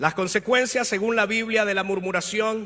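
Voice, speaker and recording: This man has a high pitch and ordinary pitch variation, talking at a moderate speed. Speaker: pastor. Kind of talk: sermon.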